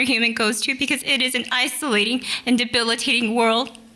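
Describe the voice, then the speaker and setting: A woman with an American accent speaks at a moderate pace in a fairly high pitch. Her intonation is monotone and flat, with noticeable background noise behind her. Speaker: nurse. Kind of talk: storytelling.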